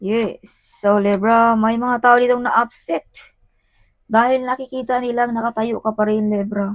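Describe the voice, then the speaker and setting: A woman's fairly high voice at a fairly slow pace, dry and close with no echo. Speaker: tarot reader. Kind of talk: tarot reading. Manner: animated.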